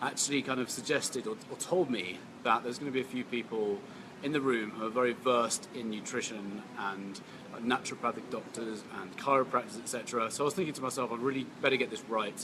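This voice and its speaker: Noticeable background noise sits behind a very fast delivery with ordinary pitch variation. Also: man, medium pitch for a man. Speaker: health and nutrition speaker. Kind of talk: casual talk to camera.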